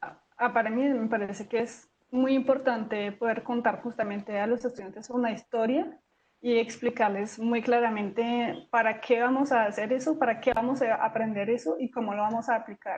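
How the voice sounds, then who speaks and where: A woman speaks with a fairly high pitch. Her intonation is fairly even. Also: moderate pace. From foreign, not Colombian. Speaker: geosciences professor. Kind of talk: interview. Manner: halting, many fillers.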